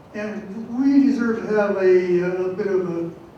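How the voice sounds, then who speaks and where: Male speech, room echo clearly audible, background noise noticeable. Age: 80s+. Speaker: Wiccan priest, audience member. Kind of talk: public forum comment. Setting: stage with audience, microphone. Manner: halting.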